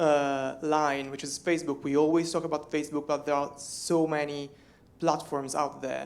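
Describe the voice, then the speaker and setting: Someone with an Italian accent speaks at a moderate pace. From Italy. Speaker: social media editor. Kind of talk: conference talk. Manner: halting, many fillers.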